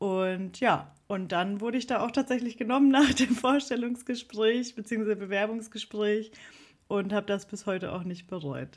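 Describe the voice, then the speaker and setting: In a normal speaking voice, a woman with a fairly high pitch and ordinary pitch variation talks at a moderate pace. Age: 30s. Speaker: social media manager and musician. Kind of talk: interview. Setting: video call.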